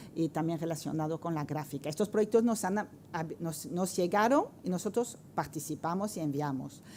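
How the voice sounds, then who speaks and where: Her French accent comes through as a woman at a moderate pace with a dark, mellow tone and ordinary pitch variation. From France. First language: French (speaking Spanish). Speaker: art professor, researcher. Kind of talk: round-table presentation. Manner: halting, many fillers.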